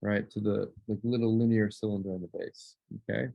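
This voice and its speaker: A man talks very fast with fairly even intonation. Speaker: art teacher. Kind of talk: tutorial. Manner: casual.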